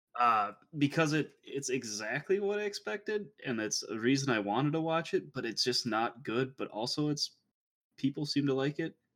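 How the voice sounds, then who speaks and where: A man with a fairly high pitch and a normal speaking voice talks at a moderate pace with lively intonation. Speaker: podcast host. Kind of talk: casual chat.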